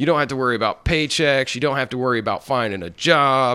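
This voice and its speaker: A man speaks with a bright, sharp tone. His pitch is fairly high and varies an ordinary amount. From Arkansas, US South. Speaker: stand-up comedian. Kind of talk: casual interview chat.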